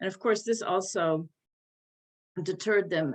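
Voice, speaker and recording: Here is a woman with an American accent and an unremarkable speaking voice. Her pitch varies in an ordinary way, and the sound is dry and close with no echo. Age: 60s. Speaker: journalist and editor. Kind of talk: panel talk.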